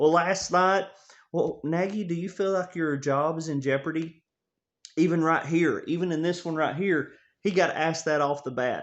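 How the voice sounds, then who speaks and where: A man speaks with a Tennessee accent and a fairly high pitch. His pace is fairly quick. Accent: Southern US (Tennessee). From Tennessee, US South. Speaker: sports fan vlogger. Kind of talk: casual monologue. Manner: animated.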